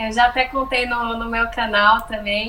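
A woman with a high pitch speaks at a fairly slow pace, her pitch varying in an ordinary way. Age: 30s. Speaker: podcast co-host, travel content creator. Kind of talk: casual chat, storytelling.

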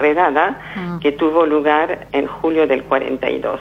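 A woman speaks in a very deep, low voice. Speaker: Holocaust survivor and author. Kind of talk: testimony. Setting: phone call. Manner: halting.

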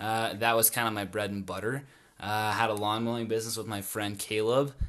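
A man with an American accent speaks at a medium pitch. His tone is bright and sharp, and the background is quiet. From northern Utah. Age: 20s. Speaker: guest on personal finance. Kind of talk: casual chat.

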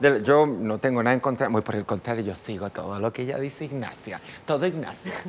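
A man talks fairly quickly at a medium pitch with ordinary pitch variation. Background noise is noticeable. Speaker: makeup artist and designer. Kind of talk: casual chat.

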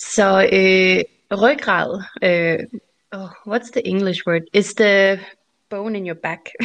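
A woman speaks at a very slow pace, her pitch medium. Her intonation stays fairly even, broken by long, frequent pauses. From Denmark. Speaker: guest. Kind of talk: casual chat.

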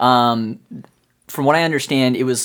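A man's medium-pitched voice, an ordinary speaking voice, ordinary pitch variation, moderate pace, very clean recording, silent background. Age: 20s. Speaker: college student and phone repair technician. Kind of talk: casual chat.

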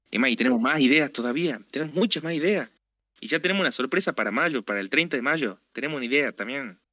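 The speaker talks at a very fast pace with a Rioplatense accent. Intonation is lively. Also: man, fairly high pitch for a man. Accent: Argentine Rioplatense Spanish. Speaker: podcast co-host. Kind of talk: casual chat.

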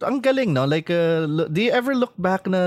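A high-pitched man with lively intonation. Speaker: podcast host and music writer. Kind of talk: casual interview in Taglish.

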